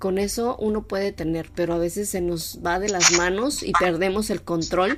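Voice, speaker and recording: A woman speaks at a medium pitch and a moderate pace, with ordinary pitch variation. She hardly pauses, and there is noticeable background noise. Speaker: radio show co-host. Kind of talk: conversational radio discussion.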